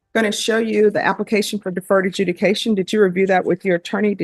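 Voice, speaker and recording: In a Louisiana accent, a woman speaks very fast at a medium pitch with monotone, flat intonation, in a dry, close sound with no echo. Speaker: judge. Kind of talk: formal, procedural. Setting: courtroom.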